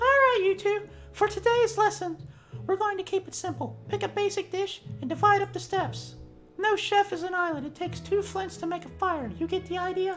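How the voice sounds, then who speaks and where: A squeaky, put-on character voice moves at a moderate pace over clear music in the background. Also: man, extremely high pitch for a man. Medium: game stream. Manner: upbeat, lecturing.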